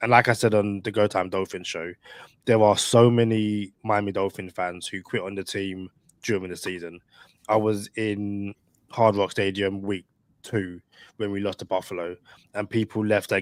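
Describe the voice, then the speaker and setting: On a very clean recording with a silent background and a dry, close sound with no echo, a man with a British accent speaks at a moderate pace in a fairly low, monotone, flat delivery. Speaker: podcast co-host, sports fan guest. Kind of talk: casual chat.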